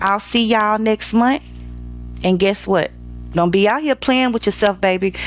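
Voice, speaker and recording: Over music in the background, a woman of medium pitch speaks with lively intonation. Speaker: lifestyle show host. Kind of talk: casual commentary. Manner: loud; talkative, animated.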